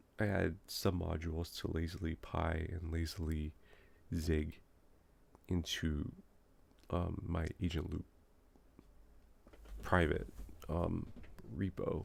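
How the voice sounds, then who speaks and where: A man's very deep, low voice at a very slow pace, broken by long, frequent pauses. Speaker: software developer. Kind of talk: live coding session. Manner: hesitant, many fillers; loud when excited. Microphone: moved mic closer to speak quieter.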